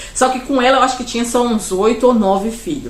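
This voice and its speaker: Through audible room echo and noticeable background noise, a woman with a fairly high voice talks at a very fast pace with ordinary pitch variation. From Brazil, Pará. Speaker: vlogger. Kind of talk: personal storytelling monologue. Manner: loud; rambling, conversational with fillers.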